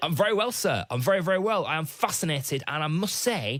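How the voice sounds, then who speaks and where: With a British accent, a man talks at a fairly quick pace, his pitch swinging very widely. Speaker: overnight radio host. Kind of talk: radio interview.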